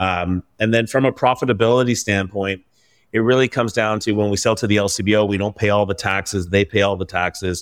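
A man with a Canadian accent at a very fast pace, fairly low in pitch with fairly even intonation, in a very clean recording against a silent background. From Vancouver, Canada. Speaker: craft brewery founder. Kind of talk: interview.

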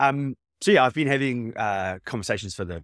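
A man speaks with a New Zealand accent. The recording is very clean with a silent background and a dry, close sound with no echo. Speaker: startup founder. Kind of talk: interview. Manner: halting.

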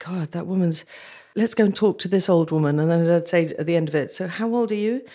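Speaking at a very fast pace with a British accent, a woman has a dark, mellow tone, a fairly low pitch and fairly even intonation, on a very clean recording with a silent background. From southern Africa (Zambia, Nigeria). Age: 60s. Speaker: war correspondent. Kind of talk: interview.

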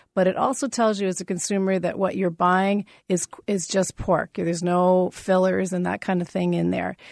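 A woman at a medium pitch over a quiet background. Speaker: pork farmer. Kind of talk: radio interview. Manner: fast talker; animated.

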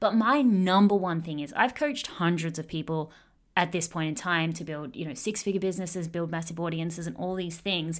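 Speaking with an Australian accent, a woman talks at a fairly quick pace in a fairly low pitch. The recording is very clean, with a silent background. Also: ordinary pitch variation. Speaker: online business coach.

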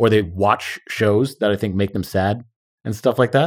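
A man speaks at a fairly quick pace in a normal speaking voice. His pitch is fairly low. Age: 30s. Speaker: copywriting business owner. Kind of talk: casual chat.

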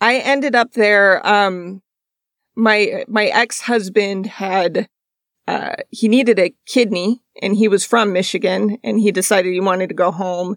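A woman has an ordinary speaking voice with a medium pitch and ordinary pitch variation. She speaks at a fairly slow pace, and the sound is dry and close with no echo. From moved around US, mostly Iowa and Georgia. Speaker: journalist and podcast host. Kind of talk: casual interview chat. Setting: video call.

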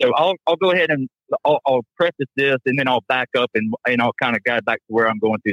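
Here is a man with a normal speaking voice. His pitch is medium, with ordinary variation. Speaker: gym owner. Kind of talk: casual chat. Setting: phone call.

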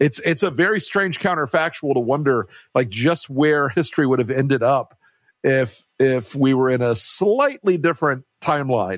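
A man speaks in a plain, everyday voice, fairly high-pitched with lively intonation. His loudness stays very even throughout. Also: moderate pace. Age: 60s. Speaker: podcast host, political strategist. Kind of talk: casual interview.

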